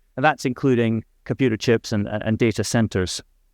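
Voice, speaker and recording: A man speaks with a Scottish accent at a medium pitch. The background is quiet. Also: dry, close sound with no echo. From Scotland. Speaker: diplomat. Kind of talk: conference speech.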